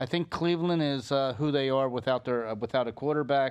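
Against a quiet background, a man talks in a normal speaking voice at medium pitch with fairly even intonation. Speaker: podcast co-host. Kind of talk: casual chat.

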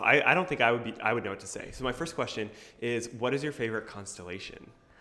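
Words come at a very fast pace, with audible room echo. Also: man. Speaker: podcast host and high school teacher. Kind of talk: casual chat. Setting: conference room of a coffee shop. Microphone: echoey room sound.

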